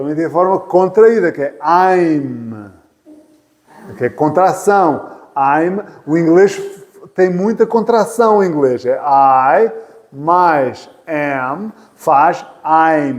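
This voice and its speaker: A man with a European Portuguese accent speaks very slowly in a high voice with lively intonation. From Portugal. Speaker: English teacher. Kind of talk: lecture. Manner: repetitive.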